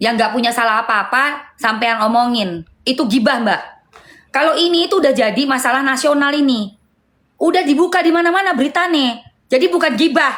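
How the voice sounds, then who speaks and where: With lively intonation and very even loudness, a woman talks in a high voice at a fairly quick pace. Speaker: live streamer. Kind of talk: heated live stream argument. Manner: loud, raised voice.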